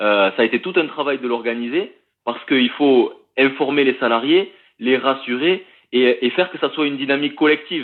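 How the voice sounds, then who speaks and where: A man with a southern French accent, fairly high pitch, ordinary pitch variation and a fairly quick pace. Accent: southern French (Toulouse). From Toulouse, southern France. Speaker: union delegate, factory worker. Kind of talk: live interview. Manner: hesitant, many fillers.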